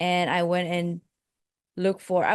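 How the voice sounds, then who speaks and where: Recorded with a dry, close sound, no echo and a quiet background, a woman speaks at a medium pitch. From Malaysia. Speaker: life coach and podcast host. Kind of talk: interview.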